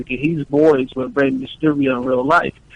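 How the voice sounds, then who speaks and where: Fairly quick speech with an American accent, dry and close with no echo. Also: man. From New York. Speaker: professional wrestler. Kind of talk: interview. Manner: animated.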